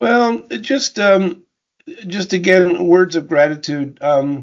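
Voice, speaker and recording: Lively intonation carries this very slow delivery with an American accent. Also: man, high pitch for a man. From New Jersey. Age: 70s. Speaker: retired university president and engineer. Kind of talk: interview, life story conversation. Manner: halting, many fillers and repetitions.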